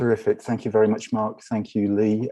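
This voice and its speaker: With an English accent, a man speaks at a fairly quick pace in a fairly low, dark, mellow voice with monotone, flat intonation. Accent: English accent, noticeable. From northwest England, near Liverpool. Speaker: research library director. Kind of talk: conference panel talk.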